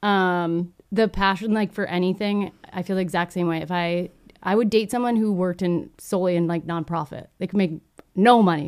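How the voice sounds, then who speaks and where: Heard on a very clean recording with a silent background, a woman speaks with an American accent and an ordinary speaking voice. Her pitch is medium, her intonation fairly even and her pace moderate. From Texas. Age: 30s. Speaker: filmmaker and YouTuber. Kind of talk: casual chat.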